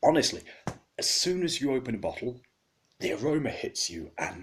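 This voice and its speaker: This is a man speaking. He has an English accent. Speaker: beer reviewer. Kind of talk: product review.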